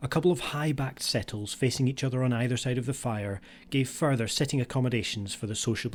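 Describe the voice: This is plain reading aloud. Someone reads a text.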